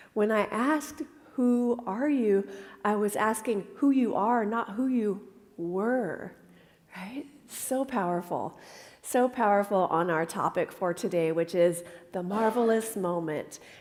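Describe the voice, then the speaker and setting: A woman's fairly high-pitched voice, an ordinary speaking voice with ordinary pitch variation, at a fairly slow pace. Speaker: minister. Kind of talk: sermon.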